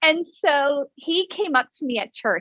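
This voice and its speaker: A woman speaks in an energetic tone. Her intonation is lively. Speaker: author and mom advocate. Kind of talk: interview.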